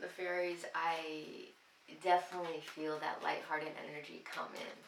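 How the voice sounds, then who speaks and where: A woman talks at a fairly slow pace in a fairly low pitch. Audible room echo surrounds her voice. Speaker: tarot reader. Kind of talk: tarot reading monologue. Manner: halting.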